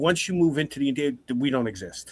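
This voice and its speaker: With a New York accent, a man talks at a fairly high pitch with ordinary pitch variation. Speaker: podcast host. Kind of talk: casual chat.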